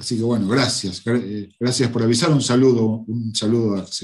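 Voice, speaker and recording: This man has a plain, everyday voice, medium in pitch, and speaks at a moderate pace. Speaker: teacher. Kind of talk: lecture. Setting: online class livestream.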